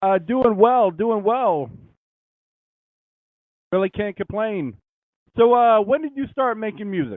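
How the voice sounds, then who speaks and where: This man talks at a fairly slow pace with a high pitch, leaving long, frequent pauses. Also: ordinary pitch variation. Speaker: radio interviewer. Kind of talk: radio interview host.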